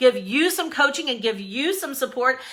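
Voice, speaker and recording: A woman with a high voice speaks in an energetic tone, her voice raised and projected. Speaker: business coach. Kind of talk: live-streamed motivational business talk. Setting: Facebook Live stream. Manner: loud.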